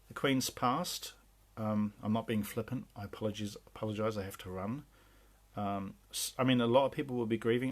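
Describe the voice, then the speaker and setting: Speaking at a moderate pace, a man with an English accent has a fairly low pitch. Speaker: spiritual channeler. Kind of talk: spiritual talk. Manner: hesitant, many fillers.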